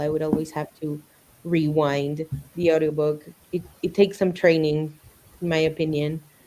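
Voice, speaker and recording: Over noticeable background noise, a woman talks at a fairly low pitch and a fairly quick pace. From Mexico. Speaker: book streamer. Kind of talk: casual chat.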